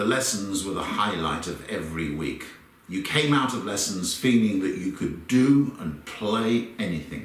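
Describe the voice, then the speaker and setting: A man with a southern English accent speaks in a fairly low pitch at a moderate pace, his intonation lively. Noticeable background noise and audible room echo come through. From London, England. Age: 60s. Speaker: conductor. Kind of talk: personal reminiscence.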